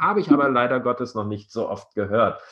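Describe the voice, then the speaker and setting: This man has an ordinary speaking voice. His pitch sits in the medium range. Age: 50s. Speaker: podcast host, lawyer. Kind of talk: interview. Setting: video call. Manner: formal.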